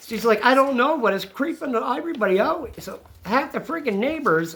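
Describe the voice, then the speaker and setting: Loud and animated, a man speaks with very wide swings in pitch. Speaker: channel co-host recounting an incident. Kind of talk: casual storytelling conversation.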